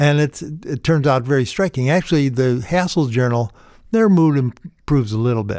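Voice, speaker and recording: A man with a fairly high pitch talks at a moderate pace with lively intonation. The sound is dry and close with no echo, on a very clean recording with a silent background. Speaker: retired psychology professor. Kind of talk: casual interview. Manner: halting, filler-heavy.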